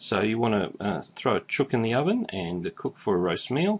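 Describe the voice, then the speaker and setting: Here a man with an Australian accent speaks at a medium pitch. His pitch swings very widely. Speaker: YouTuber teaching Australian slang. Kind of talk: casual explainer talk to camera.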